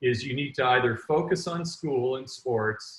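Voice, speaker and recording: A somewhat breathy man with a Canadian accent, at a medium pitch and moderate pace, with ordinary pitch variation. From Canada. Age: 60s. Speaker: entrepreneur and author. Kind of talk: interview.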